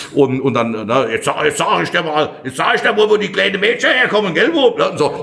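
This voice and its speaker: A man's animated tone carries through noticeable background noise. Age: 50s. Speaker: winemaker. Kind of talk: casual chat.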